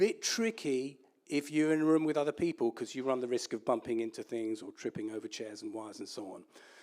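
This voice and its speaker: Talking very fast with lively intonation and big swings in loudness, a man with an English accent uses a fairly high pitch. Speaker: entrepreneur, guest speaker. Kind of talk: lecture.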